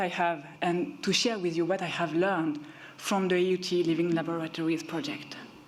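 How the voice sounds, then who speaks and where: There is audible room echo as a woman speaks at a moderate pace and a medium pitch. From Switzerland. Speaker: researcher. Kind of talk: conference talk. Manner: hesitant with fillers.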